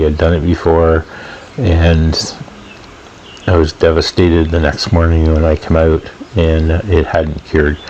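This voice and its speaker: A man speaks at a moderate pace in a very deep, low voice. Noticeable background noise sits behind him. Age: 60s. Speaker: DIY boat builder. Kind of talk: video voiceover commentary. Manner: casual with frequent fillers.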